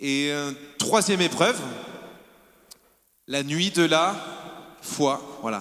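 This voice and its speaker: Long, frequent pauses break up this man's very slow speech. His pitch is fairly high and his intonation lively. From southern France, Var. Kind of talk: testimony. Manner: animated.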